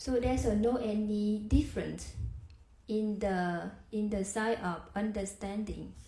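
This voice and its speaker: In a Vietnamese accent, a woman with a dark, mellow, somewhat breathy tone speaks at medium pitch and a fairly slow pace, her intonation monotone and flat, with audible room echo. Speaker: Buddhist practitioner sharing dharma. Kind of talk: dharma discussion. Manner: halting.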